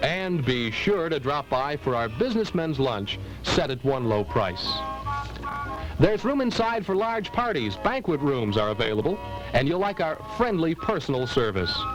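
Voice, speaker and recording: A man at a fairly high pitch with very wide pitch swings and a moderate pace, music in the background. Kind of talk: TV commercial read.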